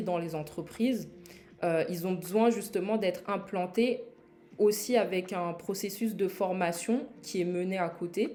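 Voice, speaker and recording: The voice has a dark, mellow tone and ordinary pitch variation. It moves at a very slow pace. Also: woman. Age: 20s. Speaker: e-learning platform founder. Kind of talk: live product launch presentation. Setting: livestream. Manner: hesitant, many fillers.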